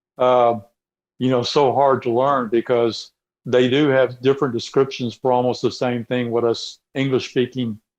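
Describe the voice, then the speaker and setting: A man speaks at a medium pitch and moderate pace with monotone, flat intonation. His loudness stays very even over a quiet background. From Texas. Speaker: robotics mechanic. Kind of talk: casual interview. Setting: remote call from garage. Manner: halting, many repetitions. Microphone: connection cutting out.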